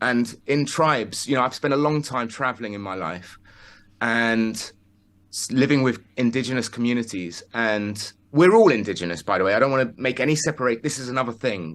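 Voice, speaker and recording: Against a quiet background, a man speaks at a fairly quick pace and medium pitch, with ordinary pitch variation. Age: 40s. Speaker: spiritual speaker. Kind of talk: interview. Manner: halting.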